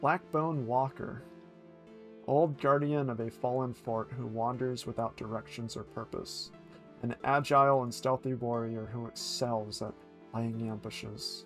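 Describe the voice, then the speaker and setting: Fairly slow speech with ordinary pitch variation, music in the background. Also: man, medium pitch for a man. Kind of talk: ASMR book reading; livestream reading from a game guidebook.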